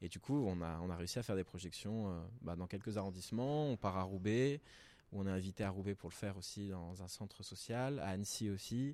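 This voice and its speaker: A man speaks at a fairly quick pace in a dark, mellow tone with a fairly low pitch and ordinary pitch variation. The recording is very clean, with a silent background. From Paris, with teen years in Peru. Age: 20s. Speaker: teacher and documentary filmmaker. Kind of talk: casual interview. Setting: recorded at a culture venue.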